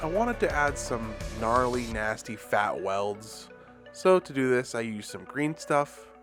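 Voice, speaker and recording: A man's speech is fairly slow. Behind him, music is playing. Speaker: diorama maker. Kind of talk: tutorial narration. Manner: casual, self-deprecating.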